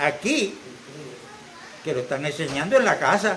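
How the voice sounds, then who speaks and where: A high-pitched man speaks at a moderate pace. Audible room echo and noticeable background noise surround him. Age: 70s. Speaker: church member. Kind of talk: church exhortation.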